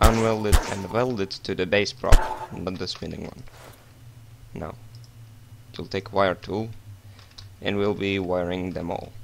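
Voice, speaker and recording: A man with a non-native accent speaks slowly and at a fairly low pitch in a monotone, flat intonation, his loudness swinging widely and his speech broken by long, frequent pauses amid noticeable background noise. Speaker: game modding tutorial maker. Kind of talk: software tutorial narration.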